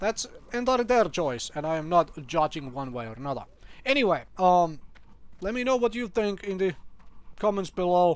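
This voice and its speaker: A man speaks with a non-native accent. His pitch is high and his pace fairly quick. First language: not English. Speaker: gaming youtuber. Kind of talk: casual commentary video. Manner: hesitant, many fillers.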